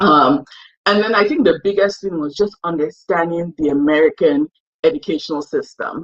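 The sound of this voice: At a moderate pace, a woman speaks with a low pitch and fairly even intonation.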